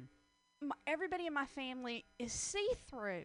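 A woman talks at a moderate pace in a high pitch with an American accent. Music plays in the background. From US South. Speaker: comedian. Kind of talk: casual chat.

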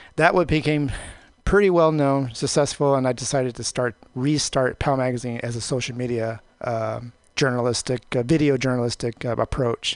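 At a moderate pace, a plain, everyday voice comes through in a dry, close sound with no echo over a quiet background. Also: man, medium pitch for a man, ordinary pitch variation. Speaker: magazine publisher. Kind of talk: interview. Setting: studio.

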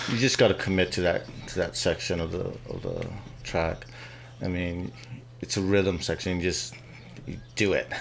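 Speaking at a moderate pace with long, frequent pauses, a man uses a very deep, low pitch, vocal fry and ordinary pitch variation. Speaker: motorcycle racer. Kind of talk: casual interview. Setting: radio studio. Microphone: too far from the mic.

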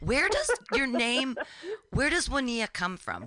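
A woman speaks at a moderate pace in a bright, sharp, animated tone. Vocal fry runs through her voice. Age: 40s. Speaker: radio host. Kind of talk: interview.

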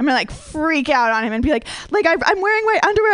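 A woman with an American accent talks very fast, her pitch swinging very widely. Noticeable background noise runs underneath. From Minnesota. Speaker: stand-up comedian. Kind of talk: stand-up. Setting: stage with audience.

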